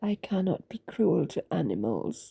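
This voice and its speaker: Somewhat breathy woman's voice at a medium pitch. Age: 80s+. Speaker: author. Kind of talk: personal testimony. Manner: halting, with many fillers.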